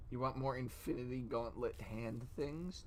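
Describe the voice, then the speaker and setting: Male speech, pitch swinging very widely, room echo clearly audible. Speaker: streamer. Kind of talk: casual chat. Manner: soft-spoken; halting.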